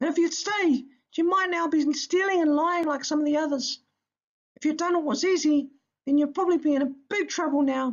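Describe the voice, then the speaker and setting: This is a put-on character voice pitched high. It moves at a fairly quick pace. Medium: read story. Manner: encouraging, warm.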